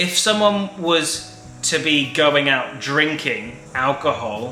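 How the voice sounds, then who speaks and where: Music runs behind the speaker. He is a man with lively intonation. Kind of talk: casual talk to camera.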